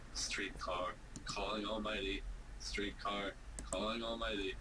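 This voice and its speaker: Over loud background noise, a man speaks in a put-on character voice at a fairly slow pace. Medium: read story. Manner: brash, crude.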